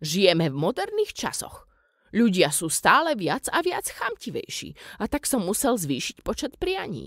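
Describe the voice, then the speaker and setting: A woman puts on a character voice with a fairly high pitch and very wide pitch swings. Her tone has a rumbling quality. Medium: read story. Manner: cranky, grumbling.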